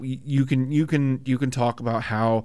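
A man at medium pitch speaks at a moderate pace with ordinary pitch variation, a normal speaking voice. The recording is very clean, with a silent background. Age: 30s. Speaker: podcast co-host, IT worker. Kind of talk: casual chat.

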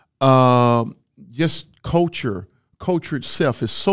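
A man with a Southern US accent speaks at a fairly slow pace and fairly high pitch, with ordinary pitch variation. The very clean recording has a silent background and a dry, close sound with no echo. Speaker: marriage podcast co-host. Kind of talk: casual chat.

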